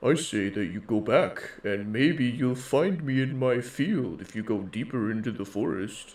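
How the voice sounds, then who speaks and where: A man puts on a character voice at a medium pitch. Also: moderate pace. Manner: mysterious.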